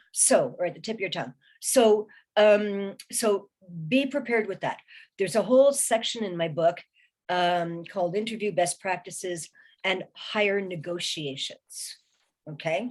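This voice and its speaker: A woman with a plain, everyday voice, medium in pitch, with ordinary pitch variation and a moderate pace. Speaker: recruiting specialist and career strategist, author. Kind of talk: webinar presentation. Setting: online webinar.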